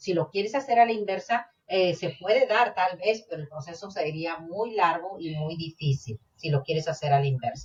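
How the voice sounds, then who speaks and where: A woman with a Mexican accent speaks in a somewhat breathy voice, her intonation lively and her delivery running with hardly any pauses. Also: fairly low pitch for a woman, moderate pace. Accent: Mexican accent, also in English. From Mexico. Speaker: podcast co-host. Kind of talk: casual chat.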